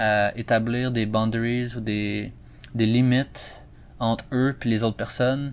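A man with a Quebec accent, medium in pitch, monotone and flat, at a very slow pace. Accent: Québécois French. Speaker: podcast host. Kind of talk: solo educational monologue. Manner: hesitant, many fillers.

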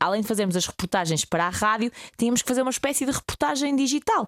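A woman speaks with a fairly high pitch and lively intonation. She has an unremarkable speaking voice. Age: 20s. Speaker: radio host. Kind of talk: casual chat.

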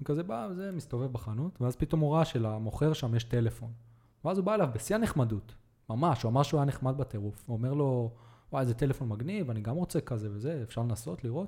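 A very fast pace with lively intonation, a dark, mellow tone and a somewhat breathy quality, captured in a very clean recording with a silent background. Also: man, medium pitch for a man. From Israel (Netanya). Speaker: podcast host. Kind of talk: casual interview chat.

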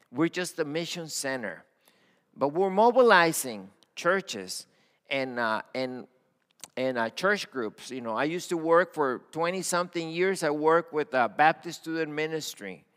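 A man talks with a Spanish accent. His tone is bright and sharp, and his intonation is lively. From Mexico-Texas border (Matamoros/Brownsville). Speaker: pastor, missions leader. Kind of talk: sermon. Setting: church.

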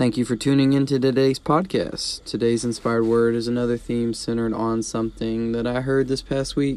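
He has a plain, everyday voice pitched in the medium range for a man. His pace is moderate and his intonation fairly even. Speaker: devotional podcast host. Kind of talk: short devotional message.

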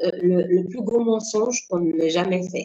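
This woman has a normal speaking voice at a medium pitch. Her pitch varies in an ordinary way. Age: 50s. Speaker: civil servant and life coach. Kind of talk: interview.

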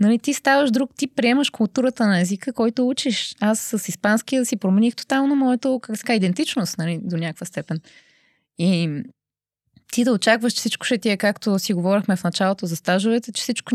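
Using a normal speaking voice, a woman talks fairly quickly at a fairly high pitch with lively intonation. The sound is dry and close with no echo, against a quiet background. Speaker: arts program officer. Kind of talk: casual interview.

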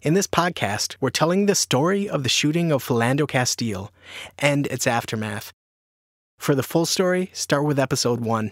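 A man's ordinary speaking voice, fairly high in pitch, with lively intonation at a moderate pace, dry and close with no echo. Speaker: podcast reporter. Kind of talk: dramatic narration. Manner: measured, somber, storytelling.

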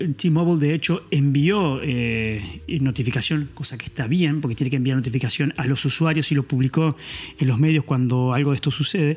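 Against noticeable background noise, a man with a fairly high pitch talks at a moderate pace with ordinary pitch variation. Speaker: podcast host. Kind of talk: casual monologue. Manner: halting.

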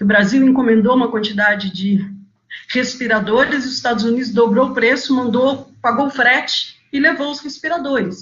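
Her pitch fairly high and its variation ordinary, a woman talks in an unremarkable speaking voice. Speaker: NGO executive director. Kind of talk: webinar talk.

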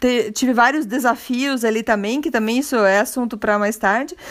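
Woman with a Curitiba accent, fairly high pitch and ordinary pitch variation, speaking at a fairly slow pace over noticeable background noise. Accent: Curitiba Brazilian Portuguese. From Brazil, Curitiba. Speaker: podcast host. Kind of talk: casual monologue. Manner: halting.

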